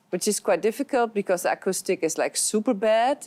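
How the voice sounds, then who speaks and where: A woman with a Flemish accent speaks at medium pitch and a moderate pace with ordinary pitch variation, in a dry, close sound with no echo on a very clean recording with a silent background. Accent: Flemish Dutch accent in English. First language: Dutch. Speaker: actress and drama therapist. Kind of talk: panel discussion. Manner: halting.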